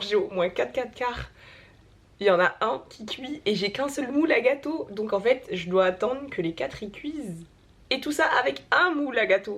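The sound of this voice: A woman's hoarse, put-on character voice, fairly high in pitch, at a moderate pace, with very wide pitch swings.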